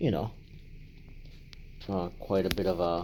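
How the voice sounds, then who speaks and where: A man speaks in a monotone with flat intonation. His tone is dark and mellow. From Latin America, raised in Canada from age ten. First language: Spanish. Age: 50s. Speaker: life advice vlogger. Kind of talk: personal vlog monologue. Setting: home apartment. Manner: conversational, hesitant with fillers.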